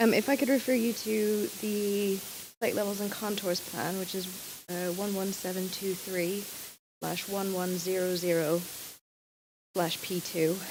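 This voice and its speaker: A woman speaks fairly slowly at medium pitch, with fairly even intonation and long, frequent pauses. Audible room echo surrounds her voice. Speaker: heritage consultant. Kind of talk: planning hearing discussion.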